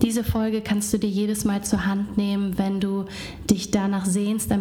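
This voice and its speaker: A woman with a gentle tone and medium pitch, over noticeable background noise. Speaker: podcast host and meditation guide. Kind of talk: guided meditation. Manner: slow, calm and soothing with long pauses; soft-spoken, gentle.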